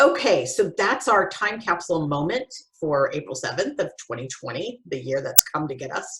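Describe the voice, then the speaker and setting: A woman's somewhat breathy voice with very wide pitch swings. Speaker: podcast host. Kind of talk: casual chat. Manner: fast; animated.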